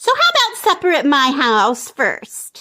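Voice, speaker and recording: A woman's squeaky, high-pitched put-on character voice, fairly slow, with very wide pitch swings. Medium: read story. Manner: eager.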